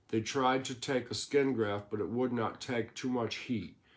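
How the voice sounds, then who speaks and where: A man speaks at a moderate pace with fairly even intonation. His is an ordinary speaking voice. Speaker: storyteller. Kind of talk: reading aloud a written life story.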